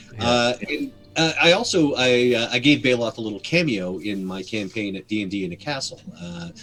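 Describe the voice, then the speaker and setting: Over music in the background, a man with a medium pitch speaks at a moderate pace with lively intonation and big swings in loudness. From Canada. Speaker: voice actor and game master. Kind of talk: interview answer.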